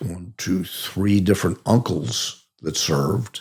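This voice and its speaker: In a Chicago accent, a man talks with a very deep, low pitch and ordinary pitch variation. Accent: Chicago-area American. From US Midwest, Oak Park near Chicago, Illinois. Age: 80s+. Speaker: army veteran. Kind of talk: interview, life story. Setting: podcast interview. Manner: halting, frequent repetitions.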